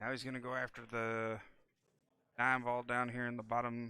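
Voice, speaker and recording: A man speaks in a monotone at a medium pitch. His tone is bright and sharp, and his pace is moderate. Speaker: pool commentator. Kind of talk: live commentary. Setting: pool hall, mobile setup without booth.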